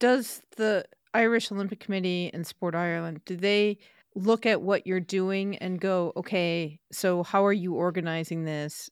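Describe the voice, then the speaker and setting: An unremarkable speaking voice: a woman with an American accent talks at a moderate pace and medium pitch with fairly even intonation, in a dry, close sound with no echo on a very clean recording with a silent background. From United States. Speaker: podcast host. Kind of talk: scripted segment reading; interview.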